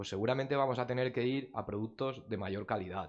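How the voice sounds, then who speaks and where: Medium-pitched male voice at a fairly quick pace, ordinary pitch variation, quiet background. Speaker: technical committee member, industry speaker. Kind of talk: technical presentation. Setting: conference room with audience. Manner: fast.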